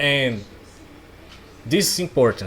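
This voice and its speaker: A man's very slow speech with a non-native accent and very wide pitch swings, against noticeable background noise. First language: not English. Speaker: self-help coach. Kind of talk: casual talk-style course. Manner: halting.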